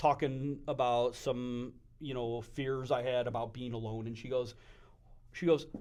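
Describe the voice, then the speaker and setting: The speaker has an unremarkable speaking voice. The pace is fairly slow. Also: man. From Western New York (Buffalo / Wyoming County). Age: 40s. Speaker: business owner. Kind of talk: casual chat.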